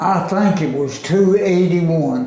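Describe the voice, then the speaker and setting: A man with a Southern US accent talks at a very slow pace with ordinary pitch variation, amid audible room echo and noticeable background noise. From US South, Arkansas. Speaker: oral history interviewee. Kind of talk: oral history interview. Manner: casual.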